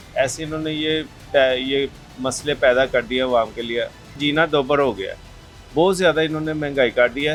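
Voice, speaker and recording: The voice keeps a fairly even intonation with music in the background. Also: man. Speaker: market trader. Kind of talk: vox pop interview answer.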